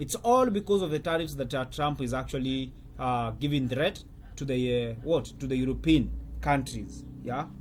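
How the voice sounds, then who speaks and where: Somewhat breathy, the man's voice rises and falls with lively intonation. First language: not English. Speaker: currency trader and trading coach. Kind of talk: market commentary video. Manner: halting, with many fillers.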